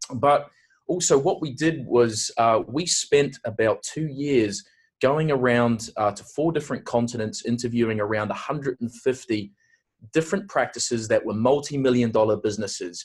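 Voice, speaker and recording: Somewhat breathy, a man with a New Zealand accent speaks at a moderate pace and medium pitch with ordinary pitch variation. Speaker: aesthetic industry consultant and awards host. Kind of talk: webinar presentation. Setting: online webinar.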